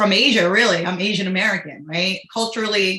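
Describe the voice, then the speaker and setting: A woman speaks at a medium pitch. Her tone is bright and sharp, and her intonation stays fairly even. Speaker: state legislator on a panel. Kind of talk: panel discussion. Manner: loud.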